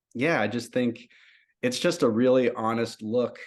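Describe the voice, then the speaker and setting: Moderate-paced man against a quiet background. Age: 30s. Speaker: roots music singer. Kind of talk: interview. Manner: halting, many fillers.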